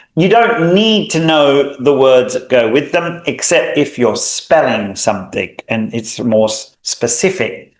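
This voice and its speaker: A man at a very slow pace. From Australia. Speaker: language teacher. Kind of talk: tutorial. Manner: clear, deliberate enunciation.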